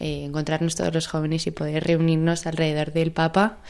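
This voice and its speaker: A woman is speaking. Her voice sits fairly low in pitch. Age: 20s. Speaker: young pilgrim. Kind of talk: radio interview.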